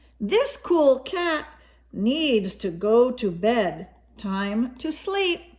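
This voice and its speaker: Using a put-on character voice, a woman speaks at a high pitch and a very slow pace with very wide pitch swings. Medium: read story. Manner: laid-back, groovy.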